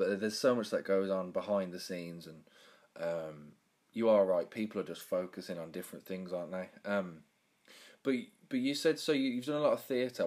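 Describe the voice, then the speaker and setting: Speaking at a fairly quick pace, a man with a fairly low pitch and a Birmingham accent uses ordinary pitch variation. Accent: Birmingham English, fairly strong. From Birmingham, England. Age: 20s. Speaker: podcast host. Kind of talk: casual interview. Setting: video call.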